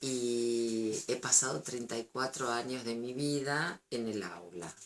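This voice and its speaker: This woman talks very slowly. Her voice sits very deep and low. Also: ordinary pitch variation. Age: 60s. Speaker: retired schoolteacher. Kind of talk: interview. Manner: hesitant, with fillers.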